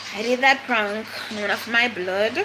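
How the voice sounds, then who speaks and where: Speaking at a very slow pace, a woman with a Jamaican accent is heard over noticeable background noise. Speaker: vlogger. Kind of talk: casual chat.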